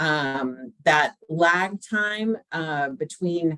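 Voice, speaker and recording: This woman's voice is fairly low in pitch, and she speaks in an American accent. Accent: slight Southern, comes out sometimes. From US South, Georgia. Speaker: technical assistance consultant. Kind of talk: online presentation to a council. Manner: conversational, many fillers.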